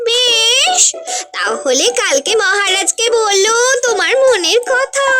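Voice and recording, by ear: A woman performs a cartoonish character voice at an extremely high pitch. She speaks at a very slow pace over clear music in the background.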